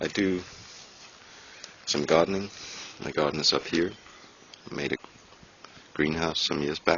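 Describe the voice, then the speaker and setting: With a Danish accent, a man speaks in a very deep, low pitch and fairly even intonation, pausing long and often amid noticeable background noise. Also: moderate pace. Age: 30s. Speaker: hobby gardener and woodworker vlogger. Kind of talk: casual vlog.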